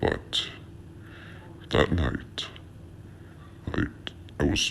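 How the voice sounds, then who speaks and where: A man puts on a character voice while clear background noise is heard. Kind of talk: creepypasta horror narration. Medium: read story. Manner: halting, repetitive.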